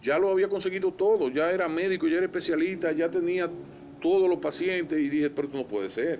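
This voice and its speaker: Speaking very fast, a man uses a high pitch and ordinary pitch variation. He has a Dominican Cibao accent. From Dominican Republic, La Vega. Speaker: physician and politician. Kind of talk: interview conversation.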